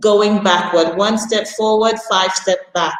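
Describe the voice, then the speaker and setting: The woman's voice is fairly high in pitch. She talks at a very slow pace. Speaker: international school teacher. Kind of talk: prepared talk at an online panel. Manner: loud.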